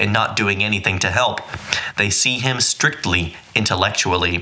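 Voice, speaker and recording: Noticeable background noise sits behind a man speaking at a moderate pace. His pitch is fairly low and his intonation lively. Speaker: audiobook narrator. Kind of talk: audiobook reading of a nonfiction book, read aloud. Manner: steady, measured, earnest narration; casual, chatty intro and outro.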